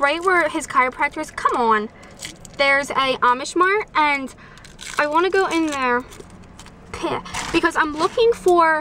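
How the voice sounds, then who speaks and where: Over light background noise, a woman speaks in a raised, projected voice at a fairly slow pace, with ordinary pitch variation and a dry sound with no echo. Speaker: vlogger. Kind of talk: casual vlog chat. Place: car. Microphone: phone near.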